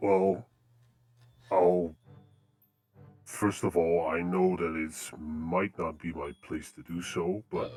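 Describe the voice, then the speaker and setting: Over faint music in the background, a man in a put-on character voice speaks at a very slow pace with a very deep, low pitch, long, frequent pauses and big swings in loudness. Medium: actual play. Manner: hesitant, placating.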